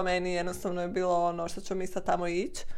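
Audible room echo surrounds a woman who speaks with fairly even intonation. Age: 20s. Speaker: guest, host's sister. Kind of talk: casual chat interview.

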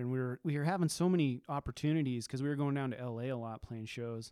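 A man with an American accent talking at a very fast pace, his tone dark and mellow, on a very clean recording with a silent background. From Nevada, US. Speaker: punk musician. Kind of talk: casual chat.

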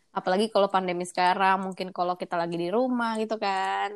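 On a very clean recording with a silent background, a woman at medium pitch speaks with fairly even intonation in a plain, everyday voice. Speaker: podcast host. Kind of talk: casual chat. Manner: code-switching Indonesian and English.

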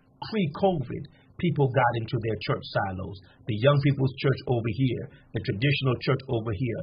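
A man talks at a moderate pace with a medium pitch. His voice is somewhat breathy, with ordinary pitch variation. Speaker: pastor. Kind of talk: sermon-like preaching in a panel interview.

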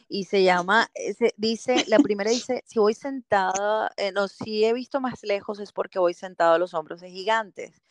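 A woman with an unremarkable speaking voice, medium pitch and ordinary pitch variation, moderate in pace with hardly any pauses, big swings in loudness, and a dry, close sound with no echo. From Venezuela, Caracas. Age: 40s. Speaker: marketing professional and speaker. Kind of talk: interview.

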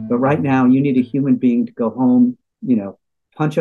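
Recorded dry and close with no echo, the voice has a dark, mellow tone, lively intonation and an American accent. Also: man. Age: 60s. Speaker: journalism lecturer and former foreign correspondent. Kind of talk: interview discussion.

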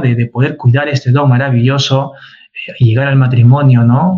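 Somewhat breathy and dark, mellow in tone, a man talks at a fairly slow pace with ordinary pitch variation. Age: 40s. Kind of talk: casual chat.

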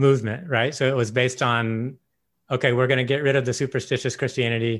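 The intonation here is fairly even, in a normal speaking voice. A very clean recording leaves the background silent. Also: man. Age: 40s. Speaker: podcast host. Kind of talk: casual chat.

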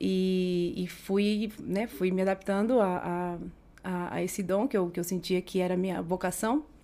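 A woman with a dark, mellow tone speaks at a moderate pace. The recording is very clean, the background silent. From Brazil, Mato Grosso do Sul (interior town). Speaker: podcast guest, property rental agent. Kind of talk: casual interview. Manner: halting.

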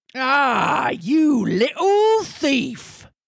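A put-on character voice in a Cornish accent rides at a high pitch with very wide pitch swings. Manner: angry.

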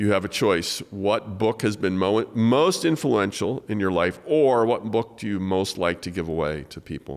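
An unremarkable speaking voice runs on with hardly any pauses and lively intonation, recorded very cleanly against a silent background. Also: man, fairly low pitch for a man, moderate pace. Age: 60s. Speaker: podcast host and author. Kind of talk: casual interview. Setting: studio, in person.

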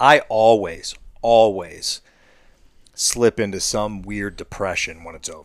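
A man with a Midwestern American accent, fairly low-pitched, at a fairly slow pace, on a very clean recording with a silent background. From US Midwest (Ohio). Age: 40s. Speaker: hunter. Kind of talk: casual chat. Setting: in a shop. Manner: halting, many fillers.

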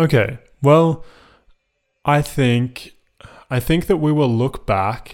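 A man speaks at a fairly high pitch and a very slow pace. He pauses long and often. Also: ordinary pitch variation. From Australia, Melbourne. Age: 20s. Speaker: podcast host. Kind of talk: casual interview chat. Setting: remote recording. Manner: hesitant, many fillers.

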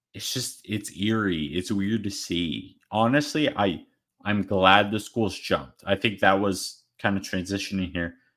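A man with an American accent and an unremarkable speaking voice talks at a fairly slow pace with a fairly low pitch and ordinary pitch variation, on a very clean recording with a silent background. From Arizona. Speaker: sports podcast co-host. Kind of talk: casual chat; rant.

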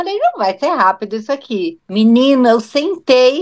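Her voice is high-pitched, and the woman keeps a moderate pace. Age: 40s. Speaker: podcast guest. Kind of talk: casual chat.

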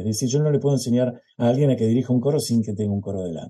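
With a Rioplatense accent, a man speaks in a dark, mellow tone and ordinary pitch variation. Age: 70s. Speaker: choral conductor. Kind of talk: interview.

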